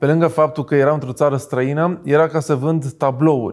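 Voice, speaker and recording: In a quiet background, a man with a fairly high pitch talks at a moderate pace with fairly even intonation. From Romania. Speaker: entrepreneur; interview guest. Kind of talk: interview. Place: studio. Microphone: lapel.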